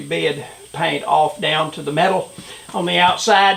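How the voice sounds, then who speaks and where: Noticeable background noise surrounds a man's voice. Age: 70s. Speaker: retired Marine doing hobby auto painting. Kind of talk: tutorial. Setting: home workshop. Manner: hesitant, many filler words.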